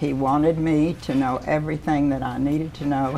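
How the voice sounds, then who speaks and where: The pace is moderate and the intonation fairly even. Noticeable background noise can be heard. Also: woman. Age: 80s+. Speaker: retired car dealer. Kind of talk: interview.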